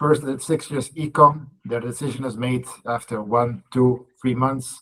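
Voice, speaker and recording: With a European accent, a man speaks at a fairly slow pace and a medium pitch. His tone is bright and sharp, his intonation monotone and flat. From Belgium. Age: 40s. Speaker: salesperson. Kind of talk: coaching call introduction.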